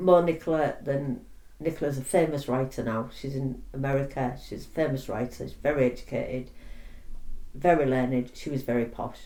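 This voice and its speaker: In a Yorkshire accent, the speaker goes at a moderate pace. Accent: Yorkshire (Hull) English. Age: 60s. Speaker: oral history interviewee. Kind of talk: oral history interview. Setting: interviewee's home.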